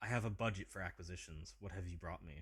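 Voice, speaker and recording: Whispering in a put-on character voice, a man sounds breathy at a very fast pace. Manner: breathy whisper.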